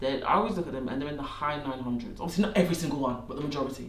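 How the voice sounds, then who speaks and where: A man with a Staffordshire accent, with noticeable background noise and audible room echo. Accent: Stoke-on-Trent. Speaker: business adviser, podcast co-host. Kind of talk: casual chat.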